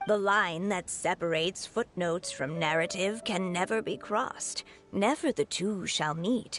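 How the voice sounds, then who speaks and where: Over clear music in the background, a female-sounding put-on character voice speaks at a medium pitch and a moderate pace. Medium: video game. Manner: gentle, solemn.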